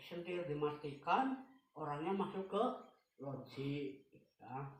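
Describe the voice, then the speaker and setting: Somewhat breathy and fairly high-pitched, a man talks at a very slow pace with long, frequent pauses and ordinary pitch variation, his voice carrying audible room echo. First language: Javanese (speaking Indonesian). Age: 80s+. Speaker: elderly interviewee recounting Japanese occupation. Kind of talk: interview, oral history.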